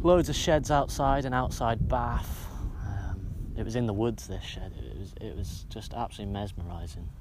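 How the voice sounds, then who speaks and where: Audible room echo surrounds the man's voice. There is also noticeable background noise. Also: moderate pace. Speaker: podcaster. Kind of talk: casual monologue. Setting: outdoors on a hilltop. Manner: halting, many filler sounds.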